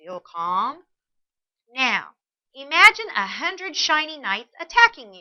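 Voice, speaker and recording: A woman performs a put-on character voice, high in pitch and with very wide pitch swings. She delivers it at a fairly slow pace. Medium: read story. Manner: stammering, squeaky when scared.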